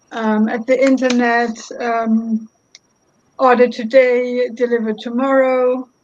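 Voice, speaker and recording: With a German accent, a woman talks at a very slow pace in a high pitch and a monotone, flat intonation. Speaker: lawyer. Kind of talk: roundtable discussion. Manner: halting.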